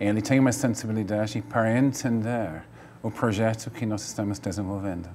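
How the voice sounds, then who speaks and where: A man's fairly low pitch at a fairly quick pace, with ordinary pitch variation. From Wales. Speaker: playwright and cultural activist. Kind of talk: TV interview.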